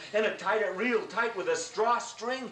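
Moderate-paced speech from a man, noticeable background noise behind it. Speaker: grandfather storyteller. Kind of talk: oral story told to grandchildren. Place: home room.

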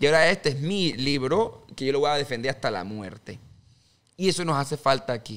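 Lively in intonation, a man speaks at a fairly quick pace with a fairly high pitch. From Panama. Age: 20s. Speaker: politician; podcast guest, candidate. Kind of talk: interview. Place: studio. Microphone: studio mic.

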